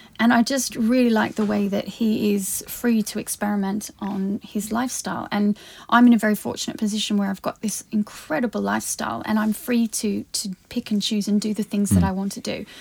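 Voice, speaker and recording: A woman with a somewhat breathy voice talks at a fairly quick pace with hardly any pauses. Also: medium pitch for a woman. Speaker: podcast host. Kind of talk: casual chat. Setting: studio.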